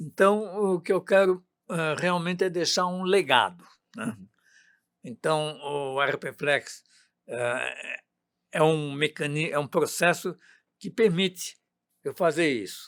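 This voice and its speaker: In a very clean recording with a silent background, a man with a high voice speaks very slowly, with ordinary pitch variation and long, frequent pauses. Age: 80s+. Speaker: software company founder. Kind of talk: interview.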